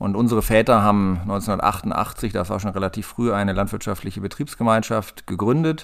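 This man has a plain, everyday voice with a fairly low pitch, talking at a moderate pace with ordinary pitch variation and hardly any pauses. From northern Germany, Hanover area (Lower Saxony). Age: 40s. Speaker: farmer. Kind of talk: interview.

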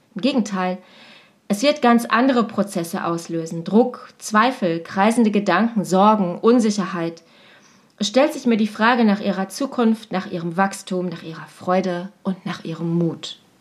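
A woman's unremarkable speaking voice at medium pitch, moderate pace and ordinary pitch variation. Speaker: teacher and coach. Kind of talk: personal podcast monologue.

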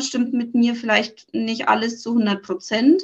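Speaking fairly slowly, a woman uses a high voice with ordinary pitch variation. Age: 30s. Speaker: coaching client. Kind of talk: interview. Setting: podcast interview.

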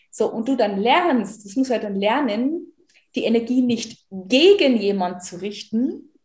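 A woman with a fairly high pitch speaks at a very slow pace, her intonation lively and her loudness swinging widely. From rural German-speaking area, farming background. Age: 30s. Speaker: life and money coach. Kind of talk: interview. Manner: animated.

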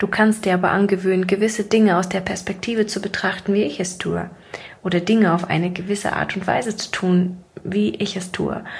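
Noticeable background noise surrounds a woman at a medium pitch. She keeps a fairly quick pace and fairly even intonation. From Siberia, Russia. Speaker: podcast host, mindset coach. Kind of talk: monologue, casual motivational talk. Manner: casual, laughing at times.

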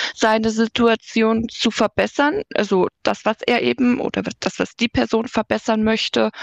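At a fairly slow pace, a woman with an unremarkable speaking voice and fairly high pitch talks with fairly even intonation. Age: 20s. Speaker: digital streetworker, social worker. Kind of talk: casual interview.

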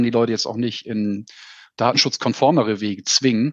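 Here a man with an unremarkable speaking voice talks at medium pitch with fairly even intonation. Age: 40s. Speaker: insurance sales manager. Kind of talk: casual interview.

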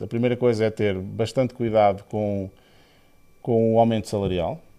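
Medium pitch from a man, dark, mellow tone, moderate pace, quiet background. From Portugal, Aveiro. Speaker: engineering director. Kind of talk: interview. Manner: halting, with fillers and repetitions.

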